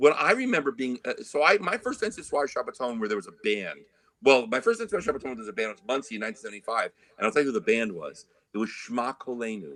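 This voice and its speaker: Speaking at a very fast pace, a man lets his volume jump up and down in big swings. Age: 50s. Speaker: trumpet player. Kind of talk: casual interview chat.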